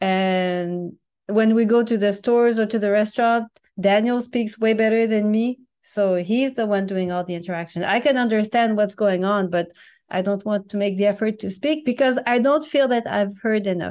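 A woman with a French accent, fairly high pitch with ordinary variation, at a moderate pace. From New Brunswick, Canada (French-speaking). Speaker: language teacher and content creator. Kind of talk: casual interview.

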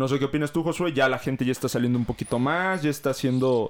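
Silence fills the background of this very clean recording. The man's voice sits fairly high in pitch. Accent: Mexican. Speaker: podcast host. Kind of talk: casual chat.

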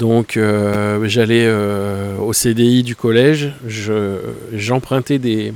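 A man talks with fairly even intonation. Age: 40s. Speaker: photography podcaster. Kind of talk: casual monologue. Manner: hesitant with many fillers.

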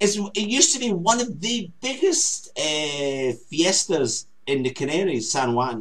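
The voice moves through very wide pitch swings with hardly any pauses. Noticeable background noise runs underneath. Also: man, high pitch for a man. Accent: Scottish. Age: 50s. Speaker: talk show co-host. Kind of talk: casual chat.

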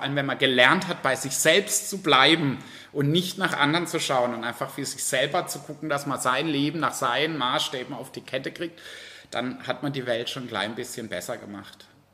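The man's voice sits fairly high in pitch and swings widely in loudness. There is noticeable background noise. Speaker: drag queen entertainer. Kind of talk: interview. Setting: bar.

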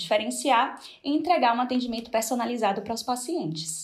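A woman has a normal speaking voice with a fairly high pitch. She talks at a fairly quick pace with lively intonation. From Brazil, Salvador (Bahia). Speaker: nutritionist. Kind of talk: interview. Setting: video call.

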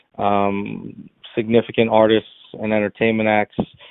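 A man talks at a fairly low pitch with a monotone, flat intonation. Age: 30s. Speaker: startup founder. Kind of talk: interview. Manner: halting, many fillers.

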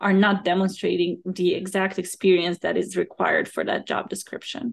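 A woman speaks at a moderate pace with vocal fry. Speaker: podcast host and career coach. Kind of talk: interview, host intro and questions.

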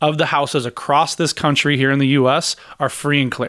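A plain, everyday voice from a man, at a moderate pace. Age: 40s. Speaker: real estate agent and investor. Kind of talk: casual interview chat.

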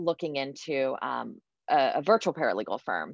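Fairly slow speech from a woman with a very deep, low pitch. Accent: American. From US Midwest, suburbs of Columbus, Ohio. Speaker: venture capital investor and former startup founder. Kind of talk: interview.

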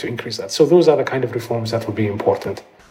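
A man's voice over noticeable background noise. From Ethiopia, Addis Ababa. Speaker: economist. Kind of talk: interview. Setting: video call from home.

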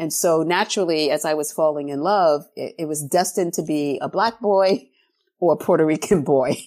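A woman with an ordinary speaking voice and a fairly low pitch speaks at a moderate pace with ordinary pitch variation on a very clean recording with a silent background. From New York City (South Bronx). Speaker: professor of education. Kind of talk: interview.

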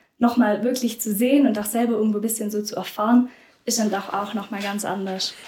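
Fairly high-pitched yet dark and mellow in tone, a woman's somewhat breathy voice moves at a fairly quick pace with a monotone, flat intonation. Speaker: volunteer after school. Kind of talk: casual interview.

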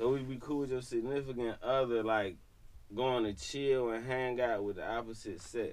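A plain, everyday voice proceeds at a moderate pace with fairly even intonation. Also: man, medium pitch for a man. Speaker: podcast guest. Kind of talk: casual chat.

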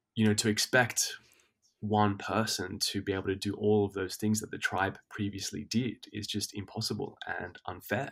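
On a very clean recording with a silent background, a man with an Australian accent speaks in a fairly low pitch with monotone, flat intonation. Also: moderate pace. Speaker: teacher and men's health advocate. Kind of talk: casual interview chat.

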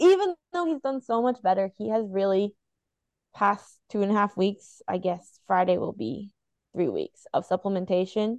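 A plain, everyday voice from a woman, medium in pitch with ordinary pitch variation, at a moderate pace, dry and close with no echo, against a quiet background. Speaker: podcast co-host. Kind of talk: casual chat. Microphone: new microphone.

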